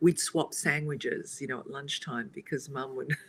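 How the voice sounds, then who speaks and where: Somewhat breathy and very deep in pitch, a woman with an Australian accent keeps a fairly even intonation at a moderate pace. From Australia, Italian family. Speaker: co-host. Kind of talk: casual chat.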